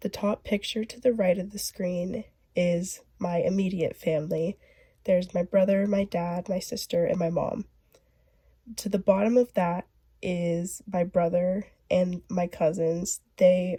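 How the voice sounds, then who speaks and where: A dark, mellow, somewhat breathy voice in an American accent moves at a fairly slow pace with fairly even intonation. The sound is dry and close, with no echo. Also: woman, medium pitch for a woman. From US West, northern California (Ukiah). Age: young. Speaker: college student. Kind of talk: class presentation.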